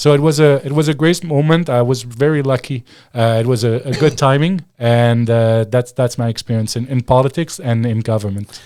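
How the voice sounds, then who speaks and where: With a French accent, a man speaks at medium pitch in a dark, mellow tone, with ordinary pitch variation. He keeps a moderate pace with hardly any pauses, on a very clean recording with a silent background. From Quebec. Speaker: former political advisor and commentator. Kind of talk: interview.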